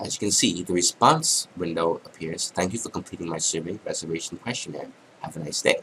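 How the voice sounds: This man has a low pitch, a fairly bright tone and a slightly husky edge.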